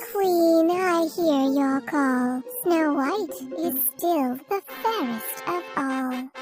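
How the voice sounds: Over faint background music, a woman puts on a cartoonish character voice, high-pitched and very slow.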